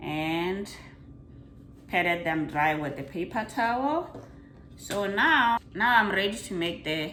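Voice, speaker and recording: A woman speaks at a very slow pace with long, frequent pauses and very wide pitch swings, with audible room echo and noticeable background noise. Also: medium pitch for a woman. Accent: Botswana. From Botswana. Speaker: home cooking video host. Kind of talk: cooking tutorial. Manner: casual, chatty.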